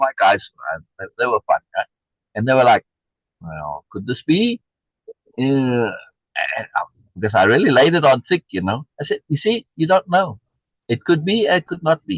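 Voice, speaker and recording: A man speaks at a moderate pace with a South African accent. The sound is dry and close, with no echo. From USA, South African immigrant community. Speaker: reading group host. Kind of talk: casual discussion. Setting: live stream.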